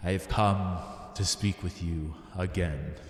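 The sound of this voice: A man puts on a booming character voice with a very deep, low pitch, speaking fairly slowly with a clear echo.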